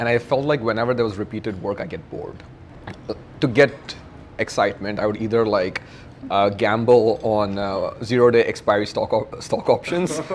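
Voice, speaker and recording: A man talks fairly quickly at a medium pitch, with ordinary pitch variation and noticeable background noise behind him. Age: 30s. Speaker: startup founder. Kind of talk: casual chat. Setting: dinner table conversation.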